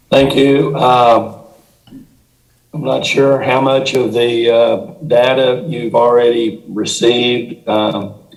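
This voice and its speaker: Audible room echo surrounds a man who speaks at a very slow pace with fairly even intonation. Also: medium pitch for a man. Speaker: redistricting consultant. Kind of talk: presentation to city council.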